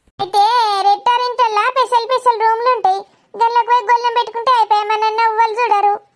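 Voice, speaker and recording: A woman uses a cartoonish character voice at an extremely high pitch and a fairly quick pace. Her intonation is monotone and flat, and her loudness stays very even. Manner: loud, bossy.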